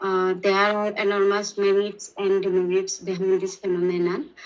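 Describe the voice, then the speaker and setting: Speaking in a Sylheti accent, a woman at medium pitch keeps a moderate pace with monotone, flat intonation. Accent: Bangladeshi English (Sylheti). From Bangladesh, Sylhet. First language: Bengali (Sylheti). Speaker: language test candidate. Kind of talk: speaking exam answers. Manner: halting, many fillers.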